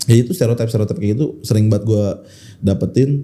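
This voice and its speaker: Somewhat breathy speech with a dark, mellow tone, fairly quick, with ordinary pitch variation and a strong Jakarta accent. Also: man. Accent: strong Betawi Jakarta speech. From Jakarta, Indonesia (Betawi). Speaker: stand-up comedian. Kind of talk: casual podcast interview.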